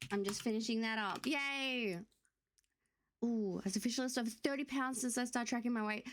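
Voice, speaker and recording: A woman at a moderate pace. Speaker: streamer. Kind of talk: casual chat. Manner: animated.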